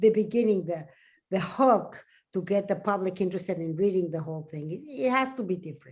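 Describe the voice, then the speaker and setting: Her intonation rises and falls in a lively way. The woman has a Spanish accent. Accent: Spanish accent, noticeable. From Mexico. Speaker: science journalist. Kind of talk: panel discussion. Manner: slow, halting.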